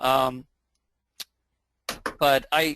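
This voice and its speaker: Against a quiet background, a man talks with a bright, sharp tone at a fairly high pitch. His intonation is fairly even. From England. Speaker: philosophy teacher. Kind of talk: webinar introduction.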